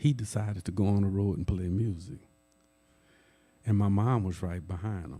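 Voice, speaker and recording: Somewhat breathy, a man speaks at a moderate pace with a fairly low pitch and a dark, mellow tone. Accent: New Orleans. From New Orleans, Louisiana. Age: 60s. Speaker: jazz historian. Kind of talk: lecture. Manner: conversational.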